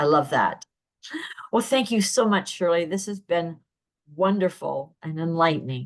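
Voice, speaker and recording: With lively intonation, a woman with a fairly low pitch talks at a fairly slow pace, leaving long, frequent pauses. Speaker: podcast host. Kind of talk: casual interview.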